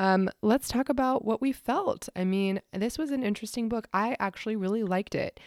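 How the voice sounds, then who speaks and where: A woman speaks fairly quickly in a Pacific Northwest accent, with hardly any pauses. Her fairly high voice shows ordinary pitch variation in a dry, close sound with no echo. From US Pacific Northwest, Washington State. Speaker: podcast host. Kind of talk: casual chat.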